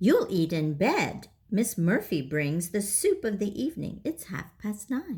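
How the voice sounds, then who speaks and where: A female-sounding, put-on character voice at medium pitch, fairly slow in pace with hardly any pauses. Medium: read story. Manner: brisk, commanding.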